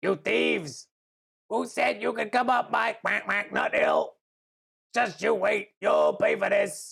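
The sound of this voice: Putting on a character voice, a woman speaks slowly at a medium pitch with big pitch swings. Her tone is fairly bright, with a slightly husky edge and vocal fry.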